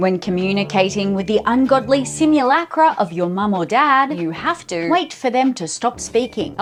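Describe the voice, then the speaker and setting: A woman with an Australian accent, fairly high pitch and very wide pitch swings, a moderate pace with hardly any pauses, and noticeable background noise. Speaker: comedian. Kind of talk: satirical comedy news report.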